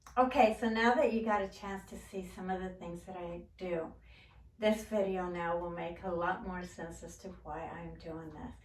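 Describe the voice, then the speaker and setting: At a moderate pace and medium pitch, a woman with a plain, everyday voice speaks with big swings in loudness. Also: ordinary pitch variation. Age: 60s. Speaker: gardening and DIY YouTuber. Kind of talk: casual talk to camera.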